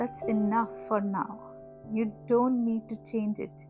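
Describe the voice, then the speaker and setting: A woman talks at a very slow pace in a gentle, soothing tone. Music plays in the background. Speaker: podcast host for homemakers. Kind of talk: gentle guided voice note, emotional validation talk. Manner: soft, slow, gentle, soothing.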